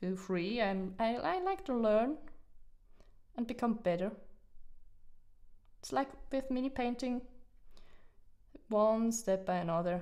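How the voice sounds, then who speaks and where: A woman's fairly high voice with a non-native accent, fairly slow pace, very wide pitch swings and long, frequent pauses. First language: not English. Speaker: hobby painting streamer. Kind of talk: casual live-stream chat. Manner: halting, many fillers and restarts.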